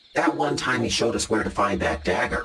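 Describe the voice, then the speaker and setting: This man puts on a character voice at a fairly quick pace. His fairly low pitch makes very wide swings. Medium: comedy sketch. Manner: calm, practical.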